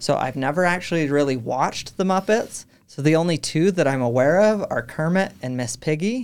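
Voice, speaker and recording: The speaker talks at a fairly quick pace with a western US accent. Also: hardly any pauses. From Utah. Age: 20s. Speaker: podcast studio manager. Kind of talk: interview. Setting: studio.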